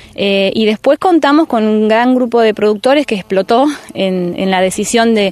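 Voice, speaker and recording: Moderate pace and ordinary pitch variation in a dry, close sound with no echo, with noticeable background noise. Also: woman, very even loudness. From rural Buenos Aires province, Argentina. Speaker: teacher and community organizer. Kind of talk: interview. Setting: outdoors.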